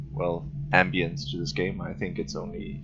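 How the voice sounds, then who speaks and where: His pace is moderate. The voice belongs to a man. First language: not English. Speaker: gaming video creator. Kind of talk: let's play commentary.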